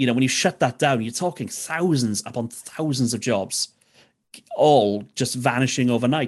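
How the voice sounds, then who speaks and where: A man speaks with a South Welsh accent. His pitch is medium and his pace moderate. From South Wales, Neath Port Talbot. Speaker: DJ and radio presenter. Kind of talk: casual interview.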